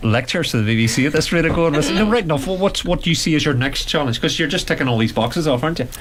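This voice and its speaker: A man with a fairly high pitch is heard through audible room echo and noticeable background noise. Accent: Derry. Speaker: radio host. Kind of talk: radio interview.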